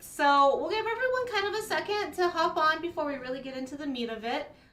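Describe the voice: An upbeat woman at a fairly quick pace, her pitch swinging very widely. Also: hardly any pauses.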